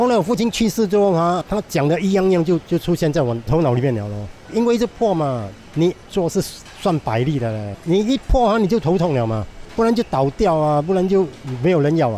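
Over noticeable background noise, a man talks at a fairly quick pace in a high pitch with very wide pitch swings. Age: 60s. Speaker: hawker. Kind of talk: interview testimony. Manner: animated with laughter.

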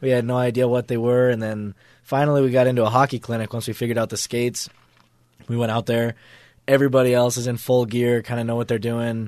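A man at medium pitch with an American accent, talking very fast in a monotone, flat intonation against a quiet background. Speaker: college hockey player. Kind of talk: interview. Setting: studio.

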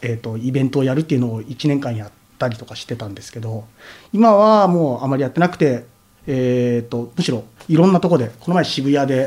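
A man talks at a very fast pace at a medium pitch. His intonation is lively and his loudness swings widely. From Tokyo (Nerima), Japan. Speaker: artist and painter. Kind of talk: casual interview.

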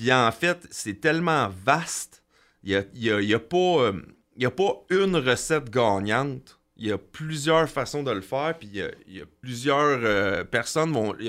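A man with a Quebec accent, very slow pace, lively intonation and big swings in loudness, on a very clean recording with a silent background. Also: medium pitch for a man. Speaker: construction business owner. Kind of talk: interview. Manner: hesitant, many fillers and repetitions.

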